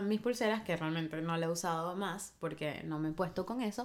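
This woman has a normal speaking voice and lively intonation. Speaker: podcast co-host. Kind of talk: casual chat.

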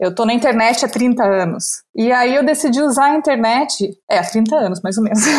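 This is a normal speaking voice from a woman, fairly high in pitch with ordinary pitch variation. She keeps a moderate pace, hardly pauses, and holds her loudness very even. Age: 50s. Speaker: content creator. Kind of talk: casual chat.

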